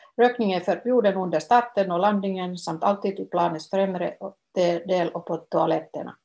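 The pace here is fairly slow. The voice has a dark, mellow tone and its pitch varies in an ordinary way. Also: woman. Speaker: former travel agency tour organizer. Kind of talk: flight announcement read aloud, Finnish then Swedish. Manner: formal, even and polite, cabin-crew style; slow, clear, measured reading.

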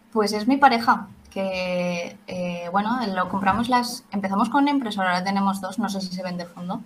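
Somewhat breathy and medium-pitched, a woman talks at a moderate pace with ordinary pitch variation. She hardly pauses. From Spain, Valencia. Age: 20s. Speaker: 3D printing craft maker. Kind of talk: interview.

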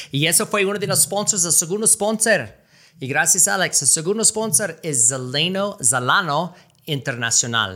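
A man with an American accent speaks at a high pitch in a bright, sharp tone with very wide pitch swings. His pace is fairly slow, and the recording is very clean with a silent background. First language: English (speaking Spanish). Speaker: podcast host. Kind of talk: casual chat. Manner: halting in Spanish.

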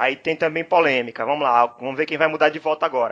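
A man's normal speaking voice, fairly high in pitch with ordinary pitch variation, over a quiet background. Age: 30s. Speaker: podcast host. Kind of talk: casual chat.

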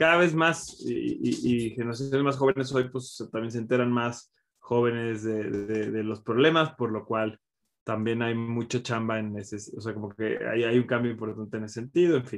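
Speaking at a moderate pace, a man with an unremarkable speaking voice keeps a medium pitch that varies in an ordinary way. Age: 30s. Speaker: content creator and interviewer. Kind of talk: casual chat.

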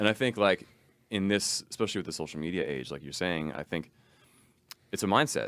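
A man with an American accent and a very deep, low pitch talks at a fairly quick pace with lively intonation and long, frequent pauses. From US Northeast, Long Island. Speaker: drummer and music teacher. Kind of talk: casual interview chat.

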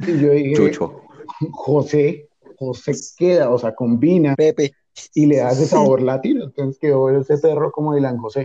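At a moderate pace, this dark, mellow voice shows ordinary pitch variation in a dry, close sound with no echo. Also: man, fairly high pitch for a man. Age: young. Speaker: university student. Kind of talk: casual chat.

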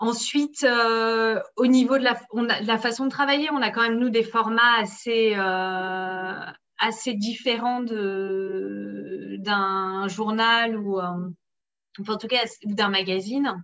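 A woman speaks with a bright, sharp tone and fairly high pitch. Her pace is very slow and her intonation fairly even. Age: 30s. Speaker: sports journalist. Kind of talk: interview.

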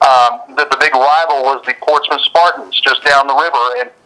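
Through noticeable background noise, a man with an American accent and a fairly high voice talks at a moderate pace with ordinary pitch variation. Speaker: radio sports announcer. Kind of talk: interview.

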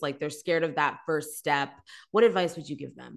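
This speaker has a normal speaking voice with a Canadian accent. Pitch varies in an ordinary way over a quiet background. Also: woman. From Canada. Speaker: podcast host. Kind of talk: casual interview.

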